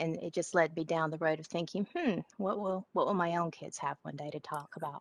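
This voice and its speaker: A woman with a strong Southern accent and a fairly low pitch, fairly quick with hardly any pauses, fairly even in intonation, in a dry sound with no echo. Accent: strong Southern twang. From Georgia (US South). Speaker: session participant, educator. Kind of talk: casual discussion contribution. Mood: reflective, thoughtful. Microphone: video call.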